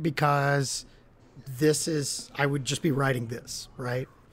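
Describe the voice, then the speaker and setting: This man talks at a fairly slow pace. He takes his time with the words. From Appalachia, US coal country. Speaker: college English instructor. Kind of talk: lecture. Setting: live stream. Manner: casual, with many fillers.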